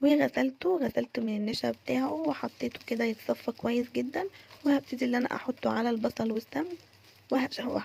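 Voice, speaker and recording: This woman speaks with an Egyptian accent. Her voice sounds dry and close, with no echo. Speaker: cooking vlogger. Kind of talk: cooking tutorial. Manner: casual, chatty.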